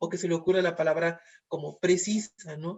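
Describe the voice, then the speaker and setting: A man's high-pitched voice with a Mexican accent, a fairly quick pace and monotone, flat intonation. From Mexico, Veracruz. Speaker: moderator. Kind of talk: interview. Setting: video call. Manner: halting.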